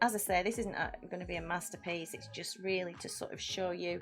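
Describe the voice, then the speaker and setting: Over music in the background, a woman talks in a Lancashire accent. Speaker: amateur artist. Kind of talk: live drawing stream, casual chat. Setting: livestream. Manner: halting.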